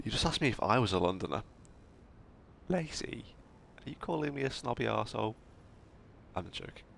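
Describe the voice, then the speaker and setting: With a northern English accent, a man talks at a fairly quick pace. His intonation is lively. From northern England. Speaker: video game streamer. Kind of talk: live gameplay commentary. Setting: live stream. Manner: animated.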